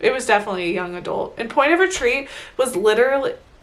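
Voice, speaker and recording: A woman talks at a moderate pace in an animated tone. Her intonation is lively, and there is noticeable background noise. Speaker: book vlogger. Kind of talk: casual monthly book review vlog.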